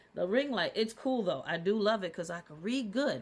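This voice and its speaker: A woman talks in an animated tone with lively intonation. Noticeable background noise sits behind her. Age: 50s. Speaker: spiritual content creator. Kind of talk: casual vlog monologue. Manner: repetitive, halting.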